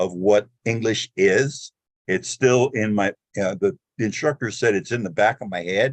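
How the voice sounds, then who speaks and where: A man's fairly low-pitched voice at a fairly slow pace, with ordinary pitch variation. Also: dry, close sound with no echo. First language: not English. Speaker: audience member asking a question. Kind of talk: audience question. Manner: halting, hesitant.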